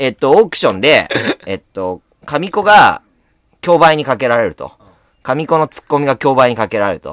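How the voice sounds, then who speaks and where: Fairly high-pitched male speech with vocal fry, very wide pitch swings, big swings in loudness, a moderate pace and long, frequent pauses, in a dry, close sound with no echo. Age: young. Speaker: comedian. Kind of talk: casual chat.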